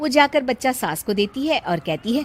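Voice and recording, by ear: Her pitch high and swinging widely, a woman talks at a moderate pace.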